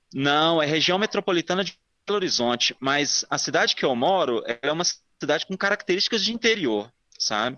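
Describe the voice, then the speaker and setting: A man with a fairly high voice talks at a fairly quick pace, his intonation lively. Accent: Minas Gerais. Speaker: listener telling a paranormal story. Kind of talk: personal testimony.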